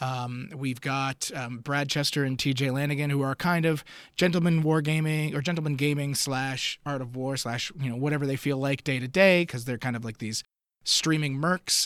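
A man with an ordinary speaking voice, fairly high in pitch and fairly even in intonation, at a moderate pace on a very clean recording with a silent background. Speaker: event organizer. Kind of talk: casual chat.

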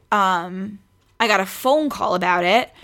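A woman's medium-pitched, bright, sharp voice with an American accent, fairly slow pace, and a very clean recording with a silent background. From New York City (Queens). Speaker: podcast guest, pregnant friend of host. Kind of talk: casual chat.

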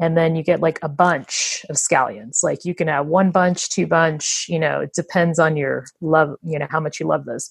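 In an American accent, the voice carries vocal fry over fairly even intonation. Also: woman. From USA. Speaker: co-host, sales rep. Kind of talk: casual chat.

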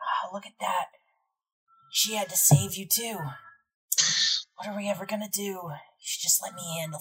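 In a put-on character voice, a woman speaks raspy and medium-pitched at a moderate pace, with long, frequent pauses. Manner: mocking, condescending, eerie.

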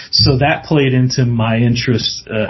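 The speaker has an American accent and a moderate pace. Intonation stays fairly even against noticeable background noise. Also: man. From US South, Mississippi. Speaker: paranormal TV producer, journalist. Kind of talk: casual interview.

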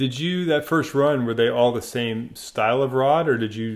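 A man speaks in a plain, everyday voice at a moderate pace. His pitch variation is ordinary. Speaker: podcast host. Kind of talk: interview.

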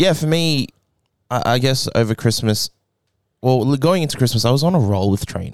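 A man with an Australian accent, medium in pitch, at a moderate pace with lively intonation and long, frequent pauses, on a very clean recording with a silent background. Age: 20s. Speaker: powerlifter coached by the hosts. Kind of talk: casual chat.

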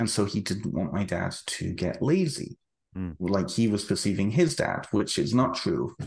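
A man speaks at a fairly low pitch. His voice makes very wide pitch swings. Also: moderate pace. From United Kingdom. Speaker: author. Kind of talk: interview conversation. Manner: halting, repeats words.

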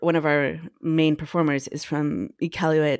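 Recorded very cleanly against a silent background, a woman with a Canadian accent speaks in a very deep, low voice with a dry, close sound and no echo. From northern Alberta, Canada. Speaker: cellist and composer. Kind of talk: casual chat.

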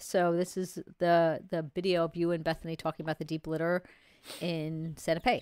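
With a New York accent, a woman talks at a fairly quick pace in a fairly low pitch, the sound dry and close with no echo on a very clean recording with a silent background. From New York City area. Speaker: co-host, chicken keeper. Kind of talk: live show, casual chat. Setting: studio, live stream. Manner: fast talker.

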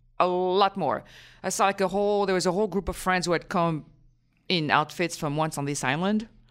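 A woman speaks at a medium pitch with ordinary pitch variation. She has an ordinary speaking voice. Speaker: theater critic. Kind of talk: casual chat.

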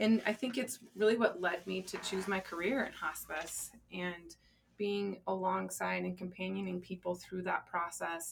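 An ordinary speaking voice with an American accent, fairly even intonation and a fairly slow pace. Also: woman, medium pitch for a woman. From Colorado. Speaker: grief center director, former hospice social worker. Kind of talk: interview conversation. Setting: studio.

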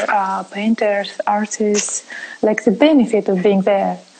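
A woman with a non-native accent speaks at a moderate pace in a fairly high pitch, with noticeable background noise behind her. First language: not English. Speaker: online talk host. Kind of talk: interview. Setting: live stream.

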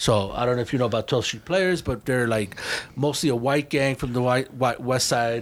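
A man with an American accent uses a plain, everyday voice at medium pitch, speaking at a fairly quick pace with ordinary pitch variation. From Chicago. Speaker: graffiti writer. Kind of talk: casual chat. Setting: studio. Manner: casual, profanity-heavy.

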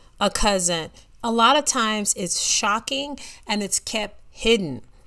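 A woman speaks at a fairly slow pace with a fairly high pitch. Her tone is bright and sharp. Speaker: podcast host and mom. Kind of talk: solo podcast monologue.

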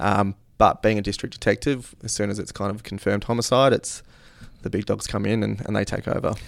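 Speaking at a fairly quick pace in an Australian accent, a man with a fairly low pitch and vocal fry keeps a fairly even intonation on a very clean recording with a silent background. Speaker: police detective. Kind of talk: interview.

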